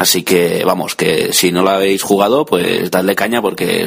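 A fairly low male voice at a fairly slow pace, over noticeable background noise. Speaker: tech blogger sending a listener audio message. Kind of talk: recorded voice message. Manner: improvised, hesitant.

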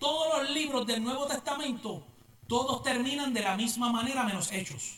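Amid noticeable background noise and audible room echo, a man speaks in an animated tone at a fairly slow pace, his pitch extremely high. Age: 40s. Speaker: pastor. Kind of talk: sermon. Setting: church.

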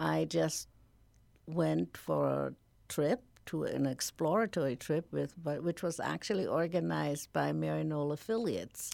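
On a very clean recording with a silent background, a woman with a German accent talks at a moderate pace and very even loudness. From Germany. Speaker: nonprofit founder. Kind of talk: radio interview. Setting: studio.

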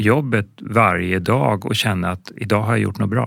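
Fairly low in pitch with vocal fry, a man speaks at a fairly slow pace with ordinary pitch variation on a very clean recording with a silent background. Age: 50s. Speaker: film director and ambulance nurse. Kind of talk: interview.

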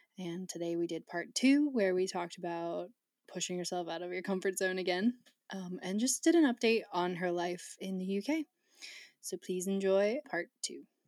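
Speaking at a moderate pace in a plain, everyday voice, a woman keeps a medium pitch and ordinary pitch variation, her sound dry and close with no echo. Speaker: podcast host. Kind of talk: casual chat. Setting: video call.

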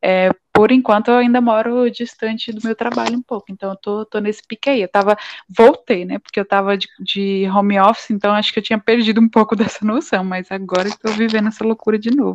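This woman has a plain, everyday voice, pitched fairly high. Her intonation stays fairly even as she speaks at a fairly quick pace. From Paraíba and São Vicente, Brazil. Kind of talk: casual chat.

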